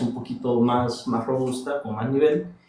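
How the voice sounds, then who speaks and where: Speaking at a fairly quick pace, a man uses a medium pitch. Noticeable background noise and audible room echo surround him. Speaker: investigative journalist. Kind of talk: casual chat. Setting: TikTok live stream. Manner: soft-spoken.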